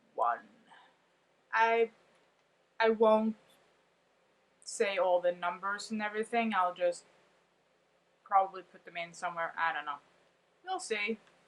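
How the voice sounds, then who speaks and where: At a fairly slow pace with long, frequent pauses, a woman with a non-native accent speaks with ordinary pitch variation and big swings in loudness. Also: medium pitch for a woman. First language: not English. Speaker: vlogger. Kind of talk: casual monologue reading from notes.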